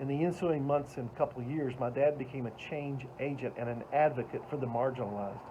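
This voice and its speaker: A man with a Southern US accent talks at a fairly quick pace and medium pitch, hardly pausing and keeping his intonation fairly even. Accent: Southern American. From US South, Atlanta, Georgia. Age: 60s. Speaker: motivational speaker. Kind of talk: motivational talk.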